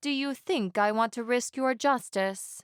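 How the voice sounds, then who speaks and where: Drawling in a put-on character voice, a woman speaks at a high pitch and a moderate pace with ordinary pitch variation. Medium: read story.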